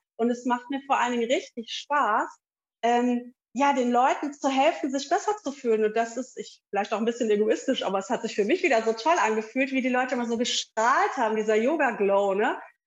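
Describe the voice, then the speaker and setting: High-pitched, a woman speaks at a fairly quick pace. The background is quiet. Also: ordinary pitch variation. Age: 40s. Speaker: yoga teacher. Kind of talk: interview. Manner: hesitant, many fillers.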